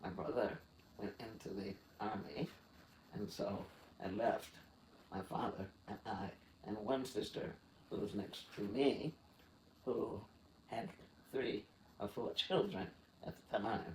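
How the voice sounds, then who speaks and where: An American-accented man speaks with a fairly low pitch and ordinary pitch variation, sounding somewhat breathy. His pace is fairly slow, broken by long, frequent pauses. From US South, Mississippi. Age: 80s+. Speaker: retired graphic arts director. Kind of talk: interview.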